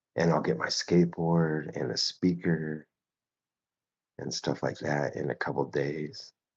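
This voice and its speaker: A man's very deep, low voice with vocal fry, at a fairly slow pace. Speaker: artist live-streamer. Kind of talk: casual live-stream chat while drawing. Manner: loud; casual, filler-heavy.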